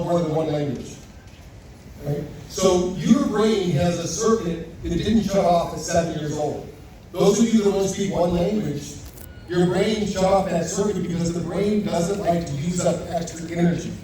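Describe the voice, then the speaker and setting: Over noticeable background noise and audible room echo, a man talks at a moderate pace in a high pitch with fairly even intonation. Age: 60s. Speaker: company founder and speaker. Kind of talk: lecture.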